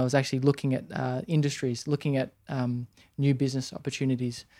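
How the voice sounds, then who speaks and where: A man with an Australian accent, fairly high pitch and a dark, mellow tone, at a fairly quick pace. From Australia, Sydney. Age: 30s. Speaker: entrepreneur. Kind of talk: interview. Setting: in a warehouse. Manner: halting.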